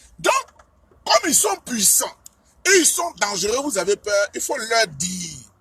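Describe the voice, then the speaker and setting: Over music in the background, a man uses a raised, projected voice at an extremely high pitch with very wide pitch swings and long, frequent pauses. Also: fairly slow pace. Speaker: political speaker. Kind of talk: political speech.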